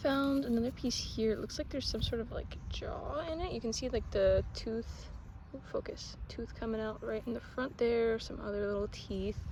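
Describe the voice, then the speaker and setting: A quiet woman at a moderate pace with audible room echo. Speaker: nature vlogger collecting bones. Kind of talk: casual outdoor vlog narration. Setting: outdoors in a public park. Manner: quiet, hushed.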